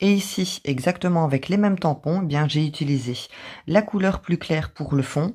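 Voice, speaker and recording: With a very deep, low pitch and a dark, mellow tone, a woman sounds somewhat breathy. She speaks at a moderate pace with ordinary pitch variation in a very clean recording with a silent background. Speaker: craft youtuber. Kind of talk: tutorial.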